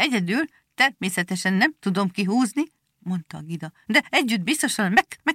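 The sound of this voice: The unforced reading voice has lively intonation, with a quiet background behind it.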